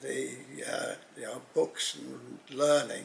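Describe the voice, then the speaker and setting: Through noticeable background noise, a man talks at a fairly slow pace. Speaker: pen expert. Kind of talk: interview. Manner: halting.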